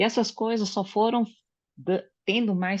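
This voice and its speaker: In a quiet background, a woman speaks at a fairly slow pace in a medium-pitched, somewhat breathy voice with ordinary pitch variation. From Brazil, Japanese-Brazilian family. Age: 60s. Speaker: study group participant, psychology professional. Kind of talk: group discussion, personal testimony. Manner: hesitant, many fillers.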